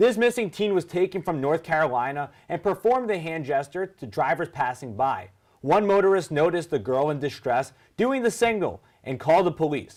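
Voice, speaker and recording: On a very clean recording with a silent background, a man speaks fairly quickly in a high pitch with very wide pitch swings. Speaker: sports and news anchor. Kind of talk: TV news and sports anchor read.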